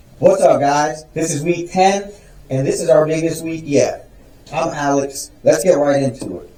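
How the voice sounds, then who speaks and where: In a room with audible echo, a man with a fairly high pitch speaks with fairly even intonation and big swings in loudness. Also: moderate pace. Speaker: woodworking YouTuber. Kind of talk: vlog intro takes. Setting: workshop.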